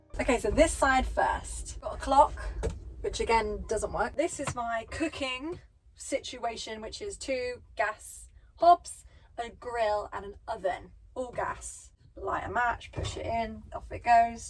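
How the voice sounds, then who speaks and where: Speaking very slowly with an English accent, a woman sounds cheerful as her loudness swings widely. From England. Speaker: van dweller and DIY builder. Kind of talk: casual home tour to camera. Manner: cheerful, chatty.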